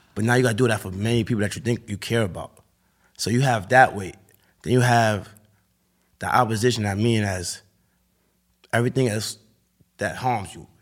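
Speaking at a fairly quick pace, a man keeps his intonation fairly even and leaves long, frequent pauses. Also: medium pitch for a man. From Harlem, New York City. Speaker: rapper. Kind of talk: interview.

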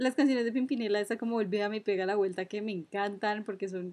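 Against a quiet background, a woman with an unremarkable speaking voice talks at a fairly quick pace and a medium pitch. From Colombia, Cúcuta. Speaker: podcast co-host. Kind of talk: casual chat.

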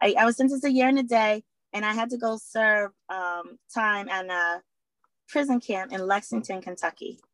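With an American accent and an ordinary speaking voice, a woman talks at a moderate pace with ordinary pitch variation, the sound dry and close with no echo. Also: fairly high pitch for a woman. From Boston, Massachusetts. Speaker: former prisoner and advocate for at-risk women. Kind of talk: interview.

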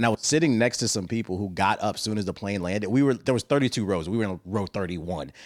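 Very fast speech from a man with an American accent, fairly low pitch and ordinary pitch variation, in a very clean recording with a silent background. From Washington DC. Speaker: podcast co-host. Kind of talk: casual chat. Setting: home studio, wireless mics. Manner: laid-back, joking.

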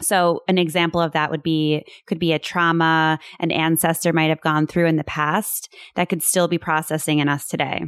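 Monotone, flat delivery at a moderate pace, with very even loudness and a dry, close sound with no echo. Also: woman, fairly low pitch for a woman. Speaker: podcast co-host. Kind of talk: casual chat.

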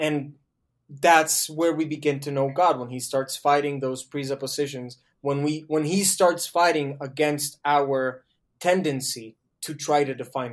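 Speaking in a Spanish accent, a man keeps a fairly slow pace and a fairly even intonation. His loudness swings widely. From Colombia. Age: 20s. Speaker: theology student. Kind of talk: casual chat. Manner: thinking aloud, hesitant.

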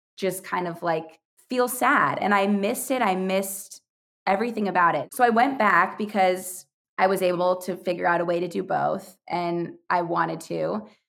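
A woman speaks at a medium pitch with vocal fry. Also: ordinary pitch variation, moderate pace. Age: 20s. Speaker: youtuber and podcaster, former preschool teacher. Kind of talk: casual chat.

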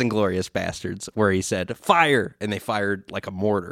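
With an ordinary speaking voice, a man talks at a moderate pace, fairly low in pitch with ordinary variation, in a very clean, dry, close recording with a silent background and no echo. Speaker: podcast co-host and editor. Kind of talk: casual chat. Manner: laughs often.

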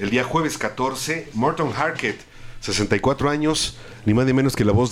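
A man talks at a fairly slow pace with lively intonation. He speaks in a Mexican accent. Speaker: radio co-host and producer. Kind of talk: live radio chat.

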